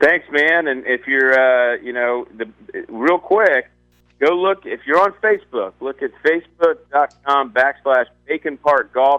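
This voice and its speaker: A man's fairly high pitch at a fairly slow pace, with ordinary pitch variation. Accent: Southern US. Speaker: newspaper golf columnist. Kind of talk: radio interview. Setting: phone call.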